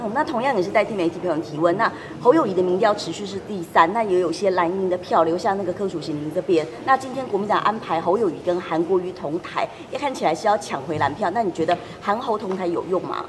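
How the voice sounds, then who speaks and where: A woman rattles along at a very fast pace, with medium pitch and ordinary pitch variation, as noticeable background noise carries on behind her. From Taiwan. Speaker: reporter. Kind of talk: press interview. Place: hall.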